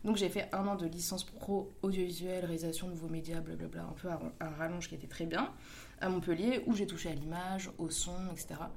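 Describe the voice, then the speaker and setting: With audible room echo around her, a woman talks at a fairly quick pace in a fairly low voice with fairly even intonation. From Paris. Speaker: video director. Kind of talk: casual interview.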